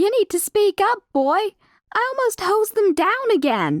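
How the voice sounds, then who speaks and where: A woman does a put-on character voice, squeaky and extremely high in pitch. Her intonation is lively, her pace moderate and her loudness very even. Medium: read story. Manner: brash, bossy.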